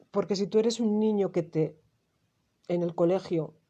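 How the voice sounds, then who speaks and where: A woman is speaking. Her tone is dark and mellow. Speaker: numerologist and therapist. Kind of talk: monologue to camera. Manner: animated.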